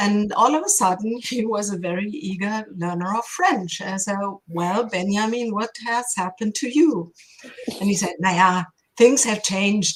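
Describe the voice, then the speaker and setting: This woman speaks with a German accent. Her pitch varies in an ordinary way. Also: medium pitch for a woman, moderate pace. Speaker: linguistics professor. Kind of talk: interview.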